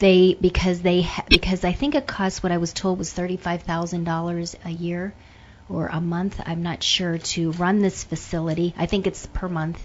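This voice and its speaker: A woman with an American accent has a plain, everyday voice at a fairly low pitch. She talks at a moderate pace with fairly even intonation. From Pittsburgh, Pennsylvania. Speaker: retired airline employee and businesswoman. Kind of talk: radio interview.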